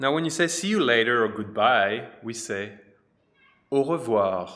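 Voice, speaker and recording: A man's medium-pitched voice in a French accent, bright and sharp in tone, with lively intonation, a fairly slow pace and audible room echo. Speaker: French teacher. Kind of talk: tutorial.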